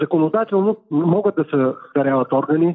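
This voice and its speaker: An ordinary speaking voice from a man, moderate in pace and fairly high in pitch. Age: 60s. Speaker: heart transplant recipient athlete. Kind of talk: phone interview.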